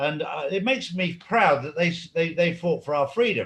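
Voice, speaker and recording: At a moderate pace, a man talks in a high pitch. His intonation is lively. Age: 60s. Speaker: interview guest, activist. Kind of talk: interview.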